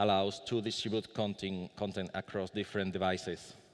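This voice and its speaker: A man speaks with a Spanish accent at a fairly low pitch. The background is quiet. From Spain. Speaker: conference speaker. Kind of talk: conference talk. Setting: conference room with audience. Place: hall. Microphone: podium.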